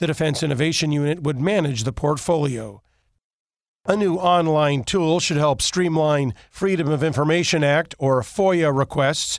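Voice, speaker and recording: An unremarkable speaking voice from a man with fairly high pitch, ordinary pitch variation and very even loudness, delivered at a moderate pace. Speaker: radio news anchor. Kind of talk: formal daily newscast read from a script. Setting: studio. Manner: crisp, measured newsreader cadence, even and authoritative; brisk item-to-item delivery with clear enunciation of acronyms.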